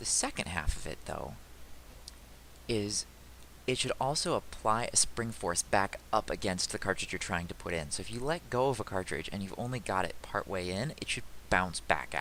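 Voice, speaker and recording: A loud man speaks at a moderate pace with a fairly low pitch. His tone is bright and sharp, and his intonation lively. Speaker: game developer. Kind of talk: tutorial. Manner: casual, halting.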